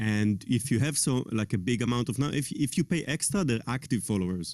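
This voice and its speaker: Against a silent background in a very clean recording, a man with an Israeli accent speaks at a fairly quick pace in a medium pitch with lively intonation. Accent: foreign accent, Israeli. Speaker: tech guy, talk show guest. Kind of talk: casual chat.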